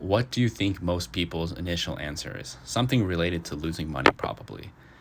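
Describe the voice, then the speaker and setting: A man with a very deep, low pitch and vocal fry talks at a fairly quick pace. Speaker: finance podcaster. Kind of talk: reading notes aloud with casual commentary. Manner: halting, stuttering.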